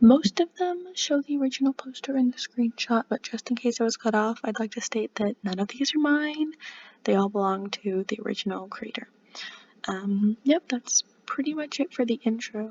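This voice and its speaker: The voice is quiet, with lively intonation. Noticeable background noise runs underneath. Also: woman, high pitch for a woman, moderate pace. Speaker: fan video creator. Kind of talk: casual reaction video. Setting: at home late at night. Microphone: cheap mic.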